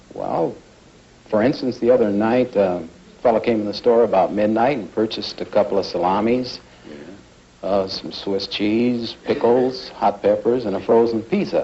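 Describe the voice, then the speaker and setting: A man with an American accent has a plain, everyday voice at a medium pitch, with ordinary pitch variation. He keeps a moderate pace, and his loudness swings widely. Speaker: insurance broker and delicatessen owner, game show contestant. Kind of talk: answering host's interview questions on a 1950s game show.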